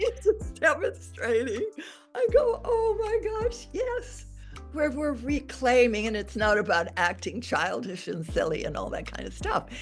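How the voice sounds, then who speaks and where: At a fairly slow pace, a woman talks while music sounds in the background. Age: 80s+. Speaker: expressive arts teacher. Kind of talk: interview answer.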